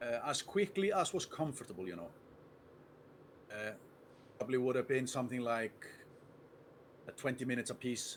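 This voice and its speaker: Pitch swinging very widely, a man with an Icelandic accent talks at a medium pitch and a fairly quick pace, yet takes long, frequent pauses. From Iceland, Reykjavik. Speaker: chess player and streamer. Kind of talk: interview.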